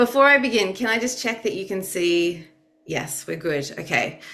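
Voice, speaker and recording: With an Australian accent, a woman speaks at a moderate pace with lively intonation in a room with audible echo. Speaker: youth advocate and researcher. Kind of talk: webinar presentation. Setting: video call.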